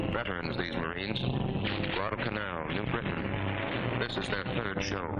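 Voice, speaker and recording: A man speaks at a moderate pace. Loud music plays behind him. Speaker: documentary narrator. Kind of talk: newsreel narration. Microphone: old recording.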